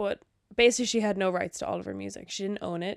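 In a dry, close recording with no echo, a woman with an Irish accent speaks at a medium pitch. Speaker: podcast co-host. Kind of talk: casual chat. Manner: giggly.

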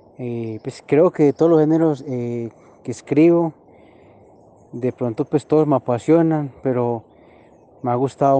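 In a dry, close sound with no echo, a man with a medium pitch and a dark, mellow tone speaks at a fairly slow pace. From Colombia, Frontino in western Antioquia. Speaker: poet and songwriter. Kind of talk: personal interview monologue. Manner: hesitant with frequent fillers.

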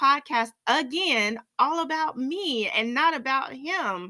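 A woman's high, bright, sharp voice, raised and projected, with lively intonation. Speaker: fitness trainer and podcast host. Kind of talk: faith-based reflective monologue. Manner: hesitant, many fillers.

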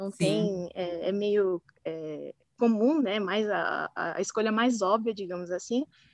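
A woman talks at a very slow pace and medium pitch, with ordinary pitch variation and a dry, close sound with no echo. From São Paulo, Brazil. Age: 20s. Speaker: marketing professional, former exchange student. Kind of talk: casual interview.

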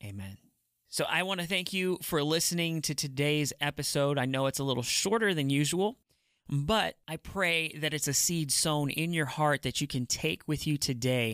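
With a normal speaking voice, a man talks at a moderate pace and a fairly high pitch, his intonation lively, in a very clean recording with a silent background. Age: 40s. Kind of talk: devotional teaching monologue.

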